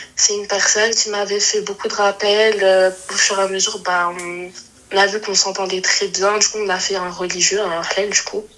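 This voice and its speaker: With noticeable background noise behind her, a woman speaks at a medium pitch and a moderate pace in a monotone, flat intonation. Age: 20s. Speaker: caller. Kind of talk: casual chat. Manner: halting.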